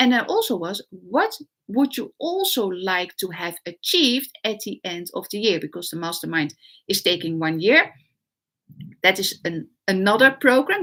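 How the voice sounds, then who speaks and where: A woman with a Dutch accent speaks at a fairly high pitch, her tone bright and sharp. Her pitch swings very widely and her loudness rises and falls sharply. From Netherlands. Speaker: online business coach. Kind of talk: live stream talk. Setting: livestream. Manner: halting, many fillers.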